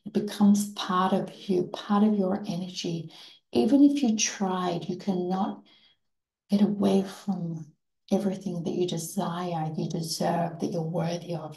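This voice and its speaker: A woman speaks at a medium pitch and a fairly slow pace, with ordinary pitch variation. Her tone is dark, mellow, warm, soothing and somewhat breathy. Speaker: meditation guide. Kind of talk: guided manifestation meditation, second-person visualization with counted breathing. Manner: slow, soothing and hypnotic, gently repeating phrases; warm, affirming and reverent, softly emphatic.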